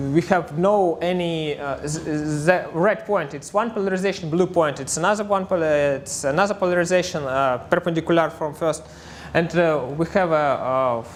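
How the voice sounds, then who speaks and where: A man with a Russian accent talks at a moderate pace in a high voice with ordinary pitch variation. The room echo is audible. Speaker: astrophysicist. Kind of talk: conference talk. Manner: halting, many filler sounds.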